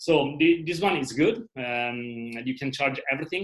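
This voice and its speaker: A man's fairly high-pitched voice with a non-native accent. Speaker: travel videographer. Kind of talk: online presentation. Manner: halting, many fillers.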